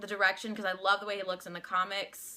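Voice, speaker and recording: A woman's medium-pitched voice, bright and sharp in tone, with a flat, monotone intonation. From Louisiana. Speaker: vlogger. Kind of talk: casual vlog opinion. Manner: halting, many restarts.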